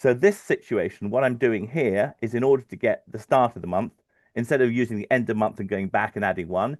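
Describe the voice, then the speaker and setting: A man's medium-pitched voice at a fairly quick pace with ordinary pitch variation, dry and close with no echo, against a quiet background. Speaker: financial modeller. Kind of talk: webinar tutorial. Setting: live stream webinar. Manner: fast; halting, many fillers.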